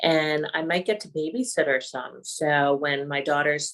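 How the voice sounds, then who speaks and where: Her voice very deep and low yet bright and sharp in tone, a woman speaks with ordinary pitch variation. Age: 60s. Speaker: patient with multiple sclerosis. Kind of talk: interview.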